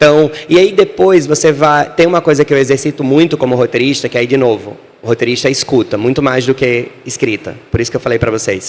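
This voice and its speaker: Over noticeable background noise, a man speaks in an animated tone at a fairly quick pace. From Brazil, Natal (Northeast). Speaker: screenwriter and author. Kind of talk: panel talk.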